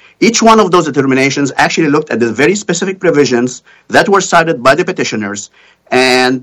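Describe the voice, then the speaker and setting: The speaker is a man. His intonation is lively. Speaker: lawyer. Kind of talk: courtroom oral argument. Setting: video call. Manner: halting.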